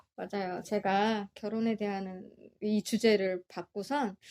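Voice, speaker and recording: Very slow delivery in a dark, mellow tone, dry and close with no echo, on a very clean recording against a silent background. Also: woman. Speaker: podcast co-host. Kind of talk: casual chat.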